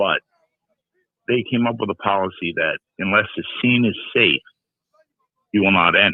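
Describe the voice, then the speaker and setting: A man talks at a moderate pace with long, frequent pauses. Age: 60s. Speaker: caller, retired firefighter. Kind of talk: call-in talk show.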